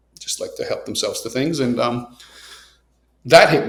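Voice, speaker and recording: Audible room echo surrounds the man as he talks fairly quickly. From Nicaragua. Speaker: coffee entrepreneur. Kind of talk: podcast interview. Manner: casual, many fillers.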